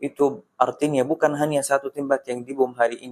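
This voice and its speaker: Monotone and flat in intonation, a man speaks at a moderate pace with an Arabic accent. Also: dry, close sound with no echo. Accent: Arabic-accented Indonesian. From Palestine, Gaza. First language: Arabic (speaking Indonesian). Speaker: Palestinian guest at charity event. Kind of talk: interview. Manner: halting, with fillers.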